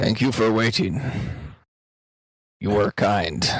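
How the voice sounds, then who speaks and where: The put-on character voice is raspy, with lively intonation and a fairly slow pace. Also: man, medium pitch for a man. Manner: sarcastic.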